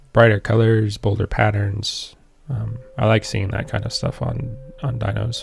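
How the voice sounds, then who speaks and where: Against noticeable background noise, a man speaks fairly slowly in a fairly low voice with fairly even intonation. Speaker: 3D artist for a game. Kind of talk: live stream tutorial chat. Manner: halting, many fillers.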